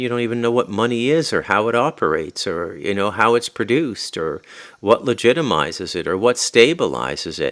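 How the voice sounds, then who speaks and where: With vocal fry and lively intonation, a man at a medium pitch talks at a fairly quick pace in a very clean recording with a silent background. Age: 50s. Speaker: podcaster. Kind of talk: solo podcast monologue. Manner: halting, with many fillers.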